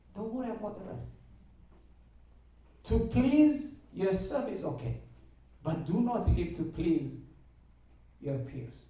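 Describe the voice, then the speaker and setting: The speaker has a strong African accent and talks at a very slow pace with long, frequent pauses. Loudness swings widely, and room echo is audible. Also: man. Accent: heavy African. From Eritrea. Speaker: university mathematics lecturer speaking to students. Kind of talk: motivational talk to students.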